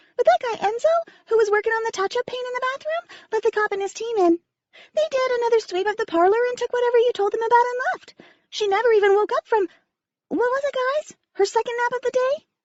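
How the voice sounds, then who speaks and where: Squeaky and extremely high-pitched, a woman rattles along very fast in a put-on character voice. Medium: read story.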